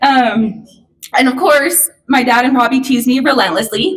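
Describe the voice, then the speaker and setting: A woman speaks loudly at a high pitch, with ordinary pitch variation. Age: 30s. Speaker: daughter of the deceased giving a eulogy. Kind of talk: eulogy speech. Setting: memorial service.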